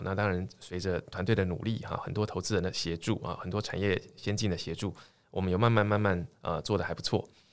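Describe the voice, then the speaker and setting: Very fast speech from a man with a fairly low pitch, captured in a very clean recording against a silent background. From Taiwan, Tainan. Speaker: tech startup chairman, former professor. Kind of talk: interview.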